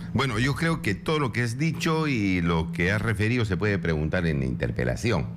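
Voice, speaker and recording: There is noticeable background noise behind a man speaking at a fairly quick pace. His fairly low voice swings very widely in pitch. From Peru, Puno. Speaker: congressman. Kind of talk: political radio interview. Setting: radio studio.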